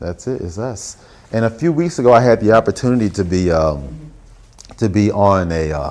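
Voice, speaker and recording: Someone with an American accent speaks at a fairly quick pace. The pitch swings very widely. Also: man, fairly low pitch for a man. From Alabama, Huntsville. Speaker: visual artist. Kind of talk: artist talk with audience Q&A. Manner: casual, conversational.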